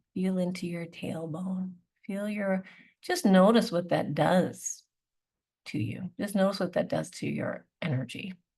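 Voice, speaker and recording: A woman with a Canadian accent and a somewhat breathy voice speaks fairly slowly at medium pitch. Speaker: naturopathic doctor. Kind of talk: webinar talk. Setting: online webinar. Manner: halting.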